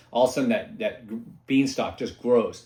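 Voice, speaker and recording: A man speaks at medium pitch with lively intonation. It is an unremarkable speaking voice. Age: 60s. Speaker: podcast host and paintless dent repair technician. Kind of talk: casual solo podcast talk. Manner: rambling, conversational with many false starts.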